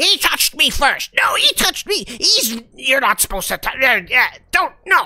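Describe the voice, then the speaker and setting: A put-on character voice, squeaky and high-pitched, with very wide pitch swings. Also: moderate pace. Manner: bickering, whiny, arguing.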